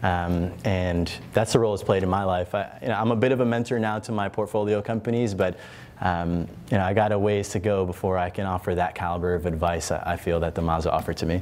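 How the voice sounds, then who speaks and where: Very fast and with fairly even intonation, a man speaks in a very deep, low voice with an American accent. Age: 20s. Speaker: entrepreneur and investor. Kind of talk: panel discussion.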